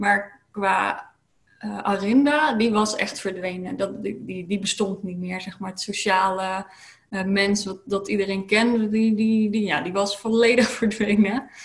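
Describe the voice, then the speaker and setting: Fairly slow, somewhat breathy speech with fairly even intonation. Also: woman, medium pitch for a woman. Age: 30s. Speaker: lifestyle coach. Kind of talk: interview. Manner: hesitant, many filler sounds.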